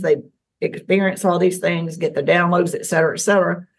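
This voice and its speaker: A woman with a medium pitch and a Southern US accent. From US South, Tennessee. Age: 60s. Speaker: alien contactee. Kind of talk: interview.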